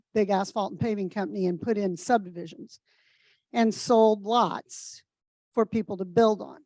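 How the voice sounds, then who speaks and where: In an American accent, a woman at medium pitch speaks with fairly even intonation, the sound dry and close with no echo. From US Midwest, Indiana (Kokomo). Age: 60s. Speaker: nonprofit center director. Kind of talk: personal testimony in a group discussion.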